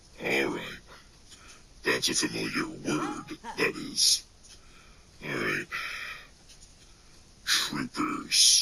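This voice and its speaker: A put-on character voice growls at a very slow pace. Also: man. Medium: solo performance. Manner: hesitant, filled with ums and uhs.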